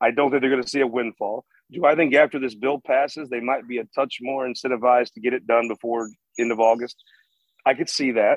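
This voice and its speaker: A man with an American accent speaks at a medium pitch in a monotone, flat way, the sound dry and close with no echo. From rural Missouri. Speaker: political news editor. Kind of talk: casual interview.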